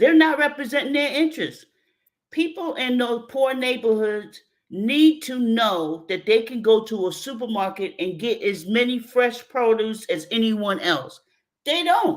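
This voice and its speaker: With a New York accent, a woman speaks at a fairly slow pace in a high pitch with lively intonation. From New York City, South Bronx. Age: 60s. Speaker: mitigation specialist. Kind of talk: radio interview.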